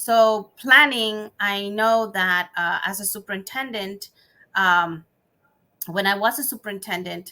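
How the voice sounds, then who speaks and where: A woman with a Spanish accent has a bright, sharp tone and ordinary pitch variation. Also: medium pitch for a woman, fairly slow pace. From Dominican Republic, raised in New York from age seven. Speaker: education leader, former superintendent. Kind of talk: lecture Q&A answer. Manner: halting, many fillers.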